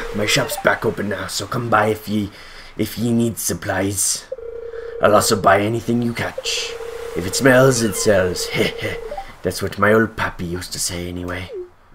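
Doing a put-on character voice, a man speaks in a gravelly, fairly low register with long, frequent pauses over clear background noise. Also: moderate pace.

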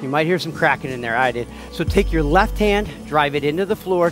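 With music in the background, a man speaks in a dry sound with no echo. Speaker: fitness instructor. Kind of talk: workout instruction. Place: gym.

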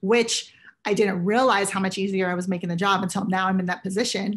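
Somewhat breathy, a woman talks at a very fast pace with an American accent. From US West Coast, San Francisco Bay Area. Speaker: casting director. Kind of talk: interview. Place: home room. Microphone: webcam.

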